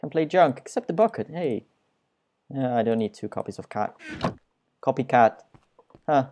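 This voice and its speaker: Recorded with a dry, close sound and no echo, a man with a non-native accent and medium pitch speaks at a moderate pace with lively intonation and long, frequent pauses. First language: not English. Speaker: gaming YouTuber. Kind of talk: let's play commentary. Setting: screen recording at home. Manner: self-deprecating, joking; casual, rambling.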